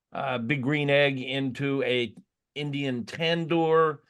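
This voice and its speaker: The speaker, with an American accent, goes at a very slow pace and uses fairly even intonation. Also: man. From Florida. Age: 70s. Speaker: barbecue author. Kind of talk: casual interview chat. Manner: halting, many fillers.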